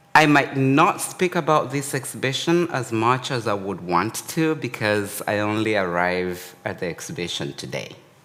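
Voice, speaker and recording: Speaking at a moderate pace with hardly any pauses, a man with a non-native accent uses a medium pitch with very wide pitch swings. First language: not English. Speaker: artist and academic. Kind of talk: artist talk. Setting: gallery talk with live audience.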